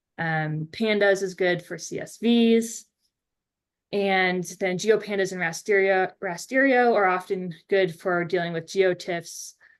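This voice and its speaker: An ordinary speaking voice with an American accent talks at a fairly slow pace, the intonation fairly even. The background is quiet. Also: woman, medium pitch for a woman. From Maine, US Northeast. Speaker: oceanographer lecturer. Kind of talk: lecture.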